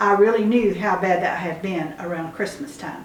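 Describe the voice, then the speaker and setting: Over noticeable background noise and audible room echo, a woman speaks at a moderate pace with medium pitch and ordinary pitch variation. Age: 70s. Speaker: homesteader. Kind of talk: casual chat. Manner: halting.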